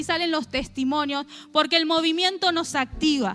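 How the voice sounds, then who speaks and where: Raising and projecting her voice, a woman speaks with an extremely high pitch, a bright, sharp tone and lively intonation. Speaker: preacher. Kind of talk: sermon. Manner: fast.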